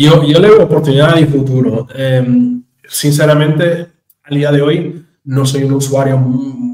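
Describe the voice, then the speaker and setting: At a fairly slow pace, a man speaks in a somewhat breathy, fairly high voice with a dark, mellow tone and ordinary pitch variation. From Portugal, near the Spanish border. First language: Portuguese (speaking Spanish). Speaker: JavaScript standards committee member. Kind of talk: interview. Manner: halting.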